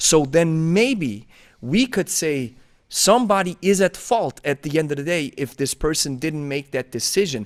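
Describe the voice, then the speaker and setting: On a very clean recording with a silent background and a dry, close sound with no echo, a man with a Swiss German accent speaks at a fairly high pitch in an animated tone with lively intonation. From Switzerland (German-speaking). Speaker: podcast host, kettlebell coach. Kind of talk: casual interview chat.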